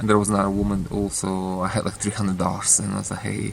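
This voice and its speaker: A man with a Russian accent and a fairly low voice speaks over noticeable background noise. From Ukraine. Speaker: author. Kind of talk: casual monologue. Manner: halting.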